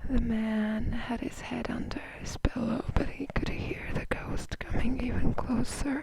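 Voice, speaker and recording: Someone whispers against noticeable background noise. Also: hardly any pauses. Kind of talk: read story. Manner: soft-spoken, whispered.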